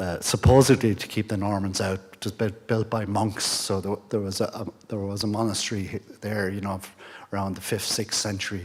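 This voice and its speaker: Over noticeable background noise, a man with an Irish accent talks fairly quickly at a fairly low pitch in a monotone, flat intonation. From Ireland, County Mayo. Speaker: guest speaker, pilgrimage society member. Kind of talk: presentation to an audience. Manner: halting, many fillers and restarts.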